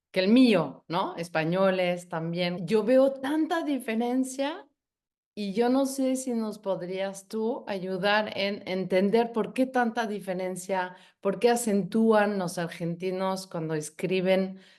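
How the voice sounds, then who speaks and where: A woman with a non-native accent speaks at a very slow pace. Her pitch is medium, with ordinary variation. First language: not Spanish (speaking Spanish). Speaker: language academy host. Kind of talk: interview.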